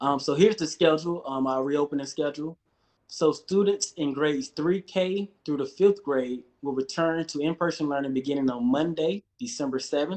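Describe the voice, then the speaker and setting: Fairly high male speech, ordinary in its pitch movement and moderate in tempo. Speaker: education department community liaison. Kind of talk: public meeting briefing.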